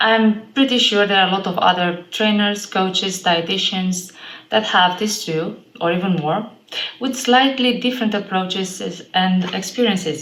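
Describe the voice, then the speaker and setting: Over noticeable background noise and audible room echo, a woman speaks at a moderate pace with medium pitch and ordinary pitch variation. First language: an Eastern European language. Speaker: fitness trainer. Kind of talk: vlog monologue.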